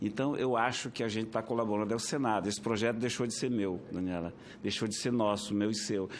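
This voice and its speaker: There's audible room echo as a man talks in a medium pitch. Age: 60s. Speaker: senator. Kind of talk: committee speech. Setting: senate committee hearing.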